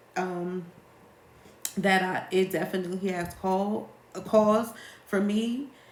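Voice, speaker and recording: A woman's medium-pitched voice at a very slow pace, with fairly even intonation, long, frequent pauses and audible room echo. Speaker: life coach. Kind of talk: live Q&A monologue. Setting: livestream.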